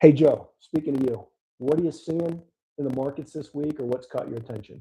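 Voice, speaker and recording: This man has a Pittsburgh accent, a fairly high pitch, a dark, mellow, somewhat breathy tone, fairly even intonation, and big swings in loudness. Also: fairly quick pace. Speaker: podcast host and money manager. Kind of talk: casual podcast chat about markets. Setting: live stream studio. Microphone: audio auto-adjust problems on the mic.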